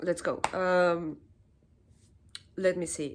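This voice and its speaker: Very slowly, a woman speaks at a fairly low pitch with a Spanish accent. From Chile. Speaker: political commentary youtuber. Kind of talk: opinion monologue. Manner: halting, repeats words.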